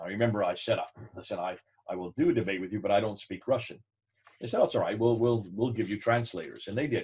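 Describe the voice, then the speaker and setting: Somewhat breathy, a man talks at a very fast pace with medium pitch and ordinary pitch variation. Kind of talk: teaching talk with anecdote. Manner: animated.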